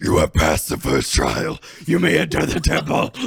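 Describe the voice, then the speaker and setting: Putting on a raspy character voice, a man speaks at a moderate pace and a medium pitch. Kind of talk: formal, like a game narrator. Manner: solemn, announcing.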